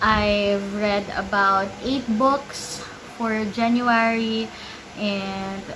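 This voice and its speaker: A woman is speaking amid noticeable background noise. Audible room echo surrounds her voice. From Philippines. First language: Filipino (Tagalog). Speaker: book vlogger. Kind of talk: casual vlog talk.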